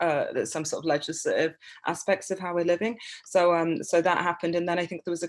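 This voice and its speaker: Very fast speech from a woman with an English accent, fairly low in pitch. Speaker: artist and writer. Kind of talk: informal talk. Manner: halting, many fillers.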